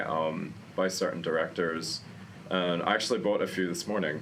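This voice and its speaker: A man speaks at a moderate pace with a very deep, low pitch. Audible room echo surrounds his voice. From Australia, Queensland. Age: 30s. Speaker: journalist and film event host. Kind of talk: casual chat. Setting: arthouse cinema.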